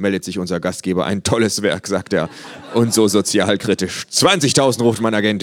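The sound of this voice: Intonation remains fairly even throughout this reading in an unforced voice.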